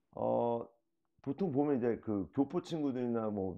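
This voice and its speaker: The speaker has lively intonation against a quiet background. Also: man. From South Korea. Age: 40s. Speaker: reality show cast member; interviewee. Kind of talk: interview. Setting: at host's home. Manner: slow; halting. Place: home room. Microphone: camera far.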